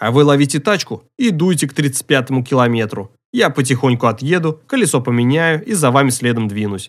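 Everything around the voice is quiet. The reading sounds natural.

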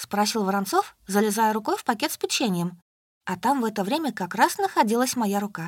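The voice is plain reading aloud with lively intonation. The background is quiet.

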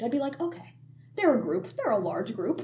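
A woman with a high pitch and very wide pitch swings speaks at a fairly quick pace amid audible room echo and noticeable background noise. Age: 20s. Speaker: student podcast host. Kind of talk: casual chat.

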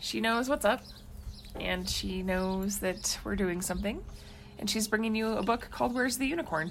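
A woman with a medium pitch and vocal fry talks at a moderate pace, her pitch varying in an ordinary way. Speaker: podcast co-host, parent. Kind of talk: casual chat.

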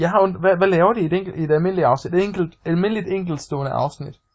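A high-pitched man at a fairly quick pace. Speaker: podcast co-host. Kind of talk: casual chat.

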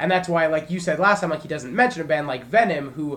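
A man talks very fast in a fairly high voice with ordinary pitch variation. There is noticeable background noise. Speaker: podcast co-host and warehouse worker. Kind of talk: casual chat.

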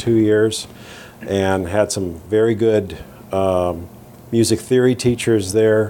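The man speaks in a fairly low pitch. His pace is fairly slow and his intonation fairly even. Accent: American. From US, Southern California (Downey). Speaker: orchestral tuba player. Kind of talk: interview. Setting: in person, Midtown Manhattan.

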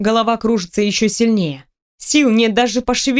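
An unforced reading voice with fairly even intonation over a quiet background.

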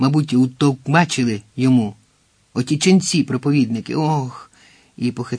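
A quiet background behind reading aloud in a natural voice

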